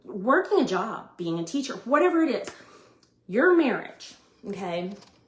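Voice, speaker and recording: Loud and animated, a woman speaks at a moderate pace in a high pitch with very wide pitch swings, and audible room echo fills the recording. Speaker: vlogger sharing family life advice. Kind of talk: casual monologue.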